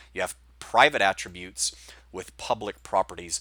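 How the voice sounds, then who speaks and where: In a dry, close sound with no echo, a man talks at a fairly quick pace in a bright, sharp tone. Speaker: programming instructor. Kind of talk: lecture. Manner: fast.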